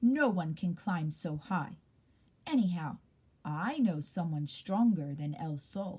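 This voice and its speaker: The pace is fairly slow. A woman puts on a character voice. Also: fairly low pitch for a woman. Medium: read story. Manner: scoffing.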